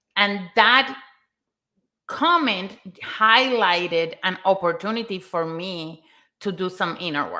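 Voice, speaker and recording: A woman with a non-native accent, bright and sharp in tone, very slow, with long, frequent pauses and big swings in loudness. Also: medium pitch for a woman, ordinary pitch variation. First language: not English. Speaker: content writer, mental health guest. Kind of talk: live stream discussion.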